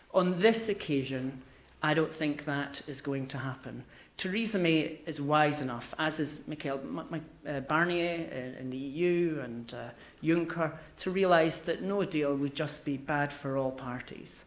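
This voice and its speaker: A man at a fairly high pitch with ordinary variation, speaking at a fairly slow pace amid audible room echo. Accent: Scottish. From Scotland. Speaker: business consultant. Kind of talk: conference speech. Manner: halting.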